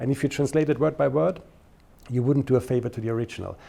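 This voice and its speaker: A man with a non-native accent, a dark, mellow tone and vocal fry, talking at a very fast pace over a quiet background. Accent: non-native, noticeable. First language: German. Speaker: interviewee in documentary. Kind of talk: interview.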